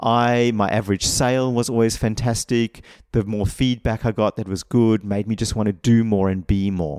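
With an ordinary speaking voice, a man talks at a moderate pace with fairly even intonation, in a dry, close sound with no echo on a very clean recording with a silent background. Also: fairly low pitch for a man. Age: 40s. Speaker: mindset coach and hypnotherapist. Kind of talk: solo podcast talk on workplace feedback.

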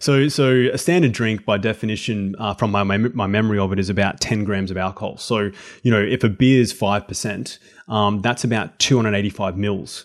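On a very clean recording with a silent background, a man with an unremarkable speaking voice and a fairly low pitch talks at a fairly quick pace with ordinary pitch variation. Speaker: health and exercise coach. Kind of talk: casual interview chat.

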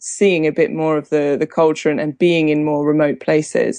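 The background is quiet. A woman with a southern English accent talks at a moderate pace in a very deep, low voice. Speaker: wine journalist. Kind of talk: casual interview. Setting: Skype call.

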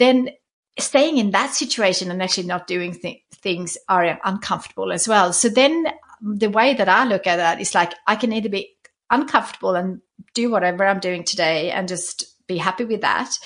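At a moderate pace, a woman with a Swedish accent speaks at medium pitch with ordinary pitch variation. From Sweden. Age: 40s. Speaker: stationery brand founder and author. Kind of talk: casual interview conversation. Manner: halting, with repeated words.

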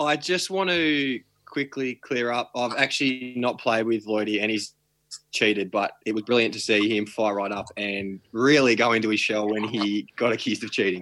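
This man has an Australian accent and a medium pitch. His tone is bright and sharp, and his pace is moderate. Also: ordinary pitch variation. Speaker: podcast co-host. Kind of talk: casual chat. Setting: video call.

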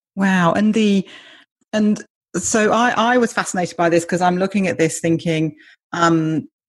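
At a moderate pace, a woman with a British accent talks in a fairly low pitch with ordinary pitch variation. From Britain. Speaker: podcast host. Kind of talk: interview conversation.

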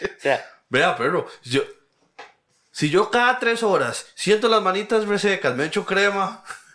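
A man with a Costa Rican accent speaks at a high pitch in a raised, projected voice. He goes at a fairly slow pace, with lively intonation. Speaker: podcast co-host. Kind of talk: casual chat.

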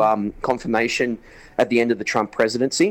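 A man with an Australian accent talks at a fairly quick pace in a medium pitch. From Newcastle, Australia. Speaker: actor and correspondent. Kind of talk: casual chat. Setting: video call.

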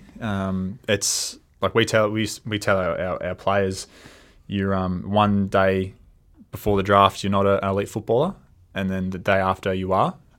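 A man with an Australian accent speaks at a moderate pace in a fairly low pitch, his intonation monotone and flat. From Australia, Melbourne. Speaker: football coach. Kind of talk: interview. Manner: halting, many fillers.

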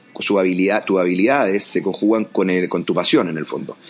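The man's fairly low voice moves along at a fairly quick clip. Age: 40s. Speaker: education entrepreneur and coach. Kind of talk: interview. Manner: halting.

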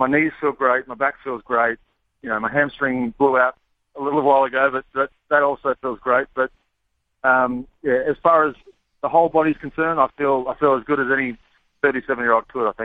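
Speaking at a fairly quick pace with an Australian accent, a man keeps a medium pitch and fairly even intonation. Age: 30s. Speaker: baseball pitcher. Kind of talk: interview. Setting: phone call.

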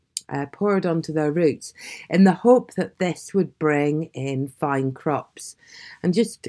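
In a very deep, low voice with a dark, mellow tone, a woman speaks at a fairly slow pace with lively intonation. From Scotland, Aberdeen. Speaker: storyteller. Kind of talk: casual talk and storytelling. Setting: home. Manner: relaxed, unpolished.

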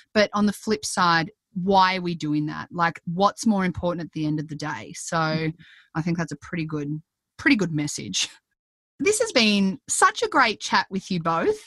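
With an Australian accent, a woman speaks at a moderate pace and a fairly low pitch with ordinary pitch variation, against a quiet background in a dry, close sound with no echo. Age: 30s. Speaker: parenting podcast host, former hospital worker. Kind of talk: interview; scripted intro and outro.

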